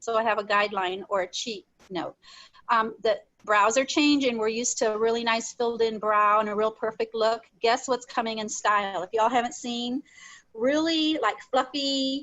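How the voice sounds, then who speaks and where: A woman talks in an ordinary speaking voice at a moderate pace, with a fairly high pitch and ordinary pitch variation. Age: 60s. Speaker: makeup demonstrator. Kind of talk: tutorial. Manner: casual.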